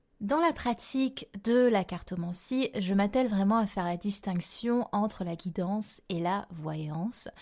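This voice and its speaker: A woman of medium pitch speaks at a fairly slow pace with ordinary pitch variation in a very clean recording with a silent background. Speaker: yoga therapist and astrologer podcast host. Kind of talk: solo podcast monologue. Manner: clear and precise.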